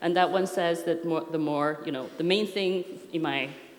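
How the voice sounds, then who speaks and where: A woman with a non-native accent and a fairly low voice speaks at a moderate pace with fairly even intonation, amid noticeable background noise and audible room echo. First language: not English. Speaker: software architecture consultant. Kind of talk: conference talk. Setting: stage with audience. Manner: hesitant, many fillers.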